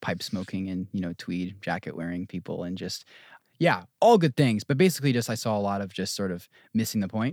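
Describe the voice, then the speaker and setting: A man with an American accent and a normal speaking voice, fairly low in pitch with ordinary pitch variation, at a fairly quick pace on a very clean recording with a silent background. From New Jersey. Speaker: apprenticeship house director. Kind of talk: casual chat.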